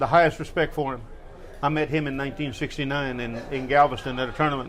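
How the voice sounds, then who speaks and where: A man with a fairly high voice at a very fast pace, flat and monotone, with audible room echo. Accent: American. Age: 60s. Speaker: martial arts veteran and Vietnam veteran. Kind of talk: interview.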